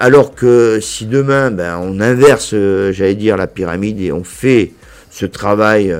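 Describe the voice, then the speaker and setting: Speaking very slowly in a southern French accent, a man has a fairly low pitch and ordinary pitch variation. His loudness swings widely. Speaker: business association director. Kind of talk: interview. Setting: association headquarters.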